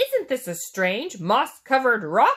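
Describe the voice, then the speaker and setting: A put-on character voice, fairly high in pitch and at a fairly slow pace. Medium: read story.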